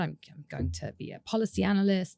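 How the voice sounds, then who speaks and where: A woman speaks with vocal fry. Her tone is dark and mellow. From UK, French-speaking family. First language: French. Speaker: author and dancer. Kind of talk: interview conversation.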